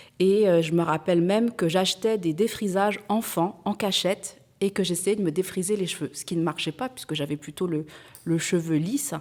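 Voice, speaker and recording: Her pitch is medium, and this woman speaks at a moderate pace with ordinary pitch variation. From France. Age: 40s. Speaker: entrepreneur. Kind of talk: testimony. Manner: hesitant, frequent fillers.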